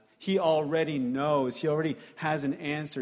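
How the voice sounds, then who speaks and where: A man's voice with audible room echo. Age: 30s. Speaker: preacher. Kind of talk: sermon.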